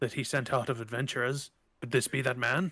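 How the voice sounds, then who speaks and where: Using a put-on character voice, a man speaks at a fairly quick pace with fairly even intonation. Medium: actual play. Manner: brusque, authoritative.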